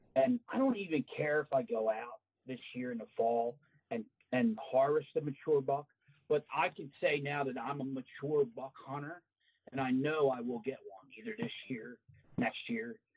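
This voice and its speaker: With an American accent and a plain, everyday voice, a man speaks at a moderate pace and a fairly high pitch, his intonation lively and his loudness swinging widely. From New Jersey, Cape May. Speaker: retired correction officer, hunter. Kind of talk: casual interview.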